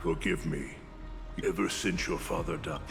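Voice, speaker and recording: A man speaks in a put-on character voice. Loud music plays behind him. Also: moderate pace. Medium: video game.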